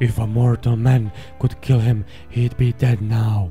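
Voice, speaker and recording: Over clear music in the background, a man does a put-on character voice at a moderate pace. His pitch is medium and his intonation fairly even. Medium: read story. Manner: blunt, terse.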